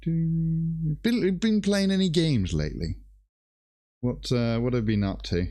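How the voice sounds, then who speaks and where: Speaking fairly slowly, a man with a dark, mellow tone and fairly high pitch makes very wide pitch swings while keeping his loudness very even. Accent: British. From Greece. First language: Greek. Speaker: miniature painter and streamer. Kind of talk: casual chat.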